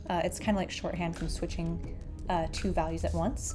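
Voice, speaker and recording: Music plays in the background. Over it, a woman speaks at a fairly quick pace. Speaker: programming tutor. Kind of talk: coding tutorial narration. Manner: drowsy; casual, hesitant.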